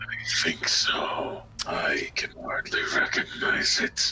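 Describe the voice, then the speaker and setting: Putting on a character voice, a man speaks at a very slow pace in an extremely high, raspy pitch. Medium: actual play. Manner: strange, slurred speech.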